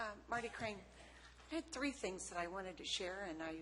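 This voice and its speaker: A woman speaks at a very fast pace with lively intonation. Audible room echo surrounds her voice. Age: 60s. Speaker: public commenter at county meeting. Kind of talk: public comment. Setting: county board meeting room. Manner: halting, many fillers.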